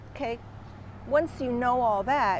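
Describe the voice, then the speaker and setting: Speaking at a moderate pace, a woman talks with vocal fry. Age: 60s. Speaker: wellness course creator. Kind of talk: personal explanation monologue. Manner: casual, somewhat halting.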